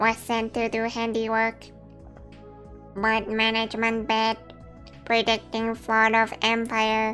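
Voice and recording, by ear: A put-on character voice, female-sounding and fairly high in pitch, monotone and flat, at a fairly slow pace with long, frequent pauses over clear music in the background.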